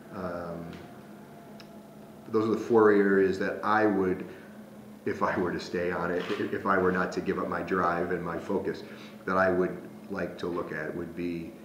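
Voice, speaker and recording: Over noticeable background noise and audible room echo, a man with a very deep, low pitch speaks in a monotone, flat way at a moderate pace, with long, frequent pauses. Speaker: Jesuit priest and school president. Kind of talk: interview. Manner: hesitant, many fillers.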